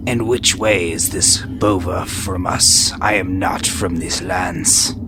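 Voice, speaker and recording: A man uses a put-on character voice, pitched very deep and low. He talks at a fairly slow pace over loud background noise. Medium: actual play. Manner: formal, archaic.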